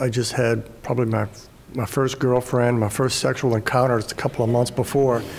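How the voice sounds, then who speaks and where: A man against noticeable background noise. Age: 60s. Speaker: journalist. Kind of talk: panel discussion. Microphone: too far from the mic.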